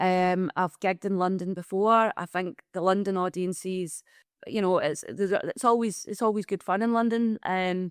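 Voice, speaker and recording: In a Glaswegian accent, a woman at medium pitch talks at a moderate pace with fairly even intonation, on a very clean recording with a silent background and a dry, close sound with no echo. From Scotland, Glasgow. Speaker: comedian. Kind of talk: podcast interview. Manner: halting, many fillers and restarts.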